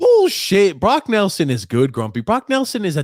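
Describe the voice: A man speaks in a high voice with very wide pitch swings, the sound dry and close with no echo. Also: moderate pace.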